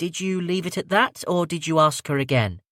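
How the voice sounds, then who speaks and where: The speaker uses a put-on character voice. The pitch varies in an ordinary way, at a moderate pace. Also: man, high pitch for a man, dry, close sound with no echo. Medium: read story. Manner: measured, grave.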